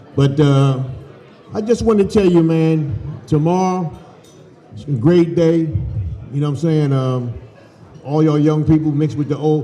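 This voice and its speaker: A man talks at a moderate pace in an American accent. His speech has long, frequent pauses. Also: fairly high pitch for a man, ordinary pitch variation. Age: 60s. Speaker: former football player. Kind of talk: speech at dinner.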